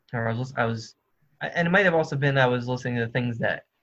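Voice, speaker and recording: Somewhat breathy, a man speaks at a medium pitch. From New Jersey. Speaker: musician. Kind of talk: casual chat. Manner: halting.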